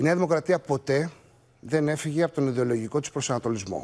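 A man speaks at a moderate pace with a fairly high voice. His pitch varies in an ordinary way. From Greece (Crete and Mani roots); Greece. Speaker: politician. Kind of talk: TV interview. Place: studio. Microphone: lapel.

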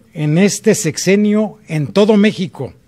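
High-pitched male voice with lively intonation against a quiet background. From Celaya, Guanajuato, Mexico; Guanajuato, Mexico. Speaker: mayor and mayoral candidate; mayor, candidate. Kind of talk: political debate. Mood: firm, formal. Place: studio. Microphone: podium.

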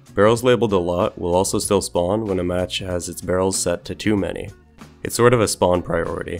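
Over music in the background, a man speaks with a very deep, low pitch and ordinary pitch variation. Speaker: game developer. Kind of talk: software tutorial narration.

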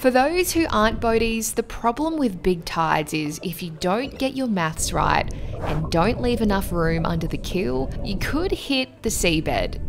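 A woman talks at a fairly slow pace with music playing in the background. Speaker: sailing vlogger. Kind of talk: casual vlog chat. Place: boat. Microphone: phone near.

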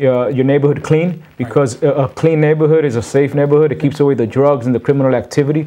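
A man with an American accent, fairly high in pitch, dark and mellow in tone, with fairly even intonation. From Reading, Pennsylvania; Pennsylvania. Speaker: community boxing gym co-founder; guest. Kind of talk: TV interview. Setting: studio. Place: studio.

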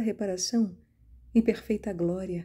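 With a dark, mellow tone and a somewhat breathy quality, a woman speaks at a medium pitch and a fairly slow pace with fairly even intonation. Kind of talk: fervent prayer, devotional reading aloud in first person. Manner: pleading, impassioned, tender, earnest; slow, reverent, solemn.

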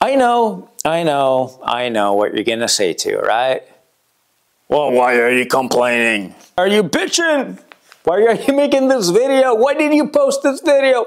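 A quiet background under a man's fairly slow pace. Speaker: YouTube creator. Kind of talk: casual vlog chat. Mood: wry, joking. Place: studio. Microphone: lapel.

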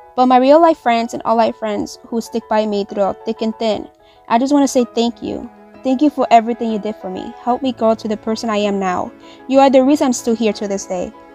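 With music in the background, a woman with a fairly high voice talks at a fairly quick pace. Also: ordinary pitch variation. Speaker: gacha video creator and artist. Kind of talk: casual New Year message to viewers.

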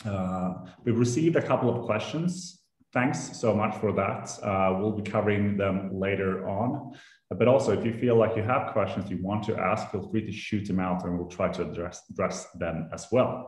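A man's voice, fairly low in pitch and somewhat breathy, at a moderate pace with ordinary pitch variation, audible room echo and a quiet background. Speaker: host of online session. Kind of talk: webinar hosting. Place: office. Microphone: video call.

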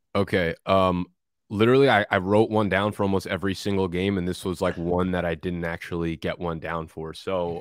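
With an American accent, a man speaks at a very deep, low pitch with fairly even intonation, in a dry sound with no echo against a quiet background. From New Jersey. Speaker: fantasy football content creator. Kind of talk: casual chat. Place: home room. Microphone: studio mic.

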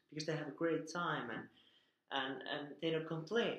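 In a Finnish accent, a man speaks at a moderate pace and a fairly high pitch, with audible room echo and a quiet background. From Finland. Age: 30s. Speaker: vlogger. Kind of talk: casual talk to camera. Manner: hesitant. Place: home room. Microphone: webcam.

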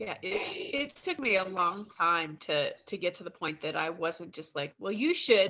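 A woman at medium pitch speaks at a fairly slow pace with lively intonation. Her loudness swings widely, and she hardly pauses. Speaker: workshop participant. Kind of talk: casual group conversation. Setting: video call. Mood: reflective, thoughtful. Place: home room. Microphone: video call.

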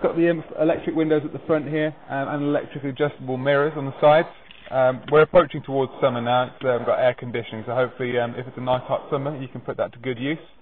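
A man rattles along at a very fast pace with light background noise behind him. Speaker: car salesman. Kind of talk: sales walkaround presentation. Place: street.

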